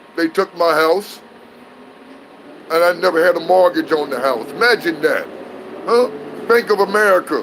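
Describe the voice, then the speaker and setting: A man with a high voice in an animated tone, with long, frequent pauses and noticeable background noise. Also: ordinary pitch variation, moderate pace. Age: 60s. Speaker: whistleblower vlogger. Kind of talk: casual monologue to camera.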